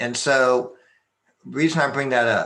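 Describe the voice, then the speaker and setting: With ordinary pitch variation, a man speaks in a bright, sharp tone. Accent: American. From Texas. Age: 60s. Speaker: martial arts master and business consultant. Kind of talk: conference presentation.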